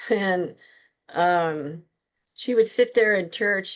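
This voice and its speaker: A woman speaks at a medium pitch against a quiet background. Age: 60s. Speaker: author and witchcraft practitioner. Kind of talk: interview.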